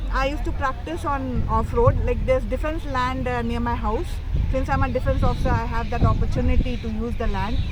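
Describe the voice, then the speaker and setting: A woman speaking at a fairly quick pace, with audible room echo and noticeable background noise. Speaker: military officer and rally rider. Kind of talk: interview.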